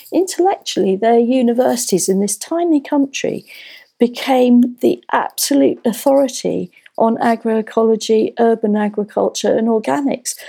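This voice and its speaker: A woman's dark, mellow voice at a moderate pace, with lively intonation and very even loudness. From England, North London. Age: 60s. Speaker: magazine editor and permaculture author. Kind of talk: interview. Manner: hesitant, frequent fillers and repetitions.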